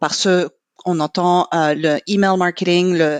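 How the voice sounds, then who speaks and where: A woman's medium-pitched voice with an English accent, at a fairly slow pace with fairly even intonation, in a dry, close sound with no echo and a quiet background. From Quebec, Montreal. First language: English (speaking French). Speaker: marketing manager in corporate training. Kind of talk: podcast interview.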